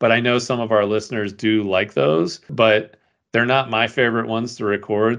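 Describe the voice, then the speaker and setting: A man speaks in an ordinary speaking voice at a moderate pace. His pitch is fairly low, with ordinary pitch variation. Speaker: podcast host. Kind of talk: casual chat.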